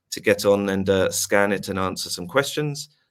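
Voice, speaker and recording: At a moderate pace, a man speaks in a very deep, low voice with a British accent. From UK. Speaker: webinar host. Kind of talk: webinar moderation. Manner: hesitant, many fillers.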